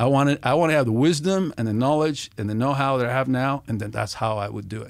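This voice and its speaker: A man speaks very fast with a Spanish accent. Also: medium pitch for a man, ordinary pitch variation, very clean recording, silent background. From Venezuela (Caracas). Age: 60s. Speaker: former FBI agent. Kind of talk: casual chat. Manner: animated.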